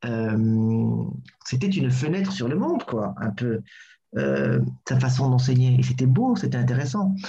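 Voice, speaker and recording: Speaking at a fairly slow pace with long, frequent pauses, a man is heard amid audible room echo. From Burundi, Bujumbura. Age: 30s. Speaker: actor and theatre director. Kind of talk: casual interview. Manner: hesitant, many fillers.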